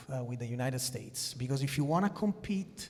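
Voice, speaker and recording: A man speaks at a fairly high pitch, his voice somewhat breathy, with audible echo from the room. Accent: Italian. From Italy. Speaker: sports executive. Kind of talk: conference panel discussion.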